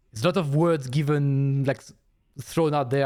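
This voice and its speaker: A man speaks with a non-native accent and a fairly high pitch. His tone is dark and mellow. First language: not English. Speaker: video game streamer. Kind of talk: casual live-stream chat.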